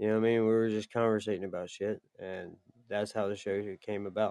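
Fairly quick and fairly even in intonation, a man talks in an unremarkable speaking voice at a fairly low pitch. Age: 40s. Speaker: podcast co-host. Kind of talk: casual chat.

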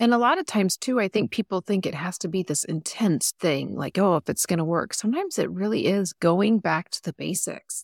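A woman with vocal fry speaks at a fairly quick pace in a medium pitch, her intonation lively and hardly any pauses, on a very clean recording with a silent background. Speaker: podcast host. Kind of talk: casual chat.

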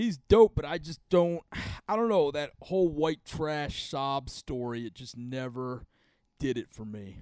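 With an unremarkable speaking voice, a man talks at a fairly slow pace with a fairly high pitch and lively intonation, in a dry, close sound with no echo. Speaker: podcast host and comedian. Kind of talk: casual banter between co-hosts. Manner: casual, profane.

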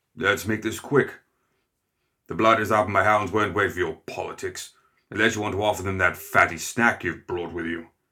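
Gruff and growling, this put-on character voice moves at a moderate pace on a very clean recording with a silent background. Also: man, fairly low pitch for a man. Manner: gruff, blustering, impatient.

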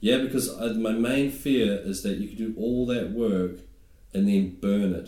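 In a room with audible echo, a speaker with a New Zealand accent talks at a fairly slow pace with fairly even intonation. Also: man, medium pitch for a man. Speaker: stand-up comedian. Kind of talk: casual chat.

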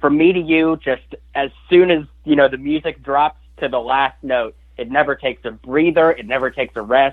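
A man with an ordinary speaking voice, fairly high-pitched, at a moderate pace with fairly even intonation. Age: 20s. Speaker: singer-songwriter. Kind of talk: interview. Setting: phone call.

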